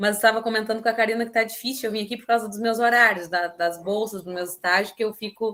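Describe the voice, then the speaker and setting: Speaking very fast with hardly any pauses, a woman uses a bright, sharp tone, fairly even intonation and big swings in loudness. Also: fairly high pitch for a woman. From southern Brazil, Rio Grande do Sul (São José do Norte). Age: 20s. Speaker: literature student. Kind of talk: online talk at a reading circle.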